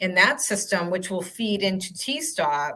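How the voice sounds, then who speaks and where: With a strong Boston accent, a woman speaks at a medium pitch in a bright, sharp tone. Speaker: transit agency communications staff. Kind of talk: webinar Q&A.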